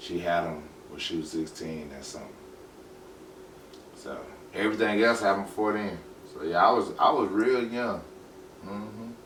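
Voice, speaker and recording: A man with a fairly low pitch talks at a moderate pace, leaving long, frequent pauses, with ordinary pitch variation and big swings in loudness. Audible room echo and noticeable background noise fill the recording. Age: 30s. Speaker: podcast guest, former gang member and father. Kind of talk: casual interview.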